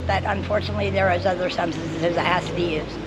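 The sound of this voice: A woman talks fast in a fairly low voice with a husky, rough edge. Her intonation stays fairly even.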